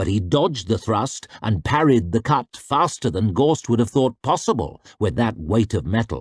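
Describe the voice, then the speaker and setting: A man's medium-pitched voice with very wide pitch swings and vocal fry, very even loudness, hardly any pauses, a moderate pace and a dry, close sound with no echo. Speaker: audiobook narrator. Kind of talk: audiobook fantasy fiction reading.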